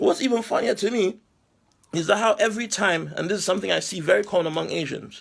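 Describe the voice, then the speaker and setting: A man speaks loudly at a very fast clip, his pitch moving in an ordinary way. His delivery is animated, and the recording is very clean with a silent background. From Nigeria. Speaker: online commentator. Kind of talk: rant. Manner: loud, raised voice.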